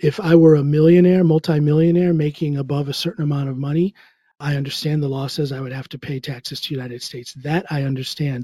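A man's dark, mellow, somewhat breathy voice at fairly high pitch, very fast in pace, fairly even in intonation, with big swings in loudness. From US Midwest, Ohio. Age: 50s. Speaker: musician, comedian and powerlifter. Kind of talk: interview.

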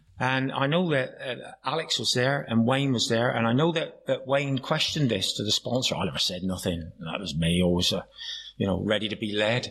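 A man with a West Country accent, medium pitch, lively intonation, and a fairly quick pace. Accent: Plymouth (Janner) West Country. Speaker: AA meeting speaker. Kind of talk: recovery talk with humor. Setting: AA meeting with audience.

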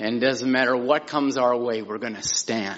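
A man speaks at a moderate pace with a medium pitch. His is an unremarkable speaking voice with fairly even intonation. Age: 60s. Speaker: minister. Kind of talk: testimony. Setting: church pulpit.

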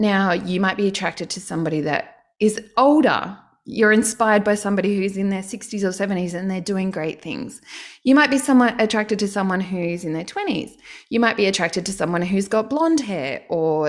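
Speaking with an Australian accent and lively intonation, a woman is heard on a very clean recording with a silent background. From Australia, Canberra. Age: 40s. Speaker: online course business coach. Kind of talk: casual interview chat.

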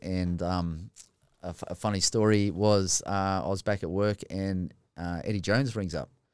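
A man with an Australian accent talks at a moderate pace on a very clean recording with a silent background. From Australia, rural New South Wales. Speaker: former rugby player, firefighter. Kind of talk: casual chat. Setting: studio.

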